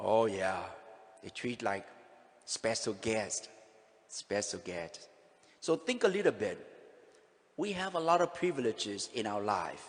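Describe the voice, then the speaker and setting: A man with a Vietnamese accent speaks fairly slowly at a medium pitch. His pitch swings very widely, broken by long, frequent pauses. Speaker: pastor. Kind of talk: sermon.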